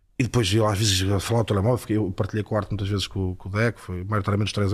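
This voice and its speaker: A man speaks very fast at a fairly low pitch, somewhat breathy. The recording is very clean with a silent background. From northern Portugal, Porto. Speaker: former footballer turned football pundit. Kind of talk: casual interview chat.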